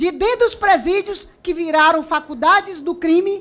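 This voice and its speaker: Her pitch is extremely high for a woman. She speaks at a moderate pace. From Acre, Brazil. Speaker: politician. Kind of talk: parliamentary committee speech. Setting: committee chamber. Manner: formal. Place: hall. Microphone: podium.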